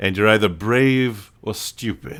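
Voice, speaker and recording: Putting on a character voice, a man speaks in a menacing tone at a fairly low pitch and a fairly slow pace. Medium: actual play. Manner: smooth, menacing courtesy.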